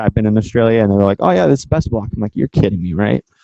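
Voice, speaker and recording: A man speaks with a West Coast US accent and a dark, mellow tone. The sound is dry and close, with no echo. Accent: General American (West Coast). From San Francisco Bay Area, California. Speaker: guest lecturer. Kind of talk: lecture. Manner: fast.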